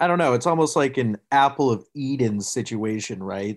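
Using a normal speaking voice, a man talks at a fairly slow pace with lively intonation against a quiet background. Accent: American. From Massachusetts, Boston area. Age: 20s. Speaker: sports writer. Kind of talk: casual chat.

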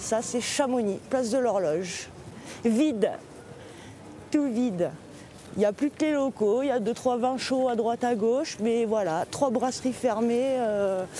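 A woman's fairly high voice at a fairly slow pace, with ordinary pitch variation, very even loudness, long, frequent pauses and noticeable background noise. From southern France, Marseille. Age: 30s. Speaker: seasonal worker. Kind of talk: casual interview.

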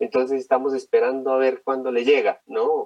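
A man speaks in a dry, close sound with no echo at all. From Colombia. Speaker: geriatrician. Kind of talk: interview, storytelling.

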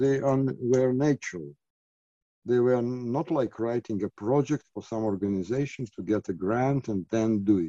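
Recorded with a dry, close sound and no echo, the voice has a Lithuanian accent, a dark, mellow tone, ordinary pitch variation and a moderate pace. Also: man, medium pitch for a man. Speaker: artist and micronation representative. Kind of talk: interview. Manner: halting, many fillers.

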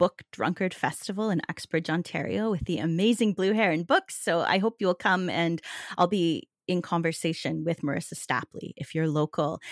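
A woman speaks in a plain, everyday voice, pitched fairly low, with ordinary pitch variation. The sound is dry and close, with no echo. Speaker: novelist. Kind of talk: interview.

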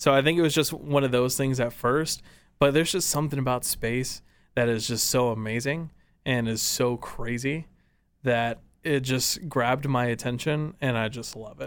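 A man with an American accent speaks in a normal speaking voice at a medium pitch with fairly even intonation. The recording is very clean, with a silent background. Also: moderate pace. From Texas, Dallas area (Farmers Branch). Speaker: radio and video producer. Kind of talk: casual interview.

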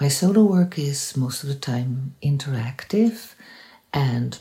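Somewhat breathy and dark, mellow in tone, a woman talks at a fairly slow pace. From Netherlands. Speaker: interdisciplinary artist. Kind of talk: promotional self-introduction.

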